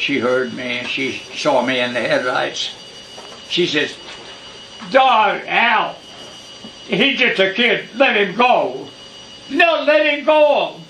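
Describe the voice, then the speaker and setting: A man speaks in a raised, projected voice at a very slow pace, with long, frequent pauses. His pitch is high and swings very widely, and noticeable background noise is present. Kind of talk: family storytelling.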